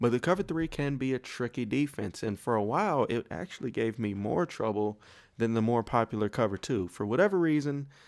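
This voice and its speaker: A man's medium-pitched voice, fairly quick with lively intonation, in a very clean recording with a silent background. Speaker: gaming YouTuber. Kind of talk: gaming tutorial. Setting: home at night. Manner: quiet.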